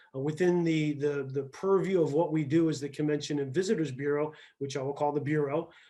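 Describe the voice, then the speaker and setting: A man with a Midwestern accent speaks at a fairly quick pace in a fairly high pitch, his tone dark and mellow and his intonation fairly even. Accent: US Midwest (Ohio). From Ohio, Akron. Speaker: tourism bureau executive. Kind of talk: speech to a club. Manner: fast.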